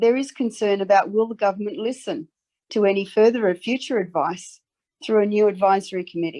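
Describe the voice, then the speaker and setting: In a slight Australian accent, a woman speaks at a medium pitch and moderate pace, her tone dark and mellow with ordinary pitch variation. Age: 60s. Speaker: advocate. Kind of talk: formal submission. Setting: parliamentary select committee hearing. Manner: earnest, emphatic.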